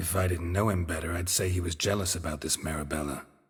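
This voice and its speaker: In a put-on character voice, a man delivers a deadpan tone at a very fast pace with very deep, low pitch, captured in a very clean recording with a silent background. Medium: video game. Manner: terse, dry, deadpan.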